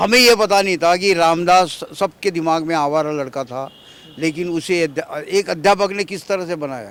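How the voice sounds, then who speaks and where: A man's high voice with ordinary pitch variation. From Maharashtra, Amravati district village. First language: Marathi (speaking Hindi). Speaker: author. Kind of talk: interview.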